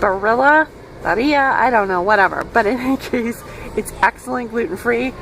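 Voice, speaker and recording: Noticeable background noise is heard as this woman keeps a moderate speed. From multilingual upbringing (French, English, Hebrew). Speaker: food vlogger. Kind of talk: tutorial. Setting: in a store. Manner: casual, conversational.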